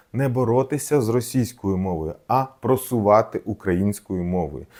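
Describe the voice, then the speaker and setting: A man with a Russian accent speaks at a fairly slow pace. His tone is dark and mellow, and his intonation is lively. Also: very clean recording, silent background. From southern Ukraine, Mykolaiv oblast. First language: Russian (speaking Ukrainian). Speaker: doctor and video blogger. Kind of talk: personal video essay. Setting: children's room at home.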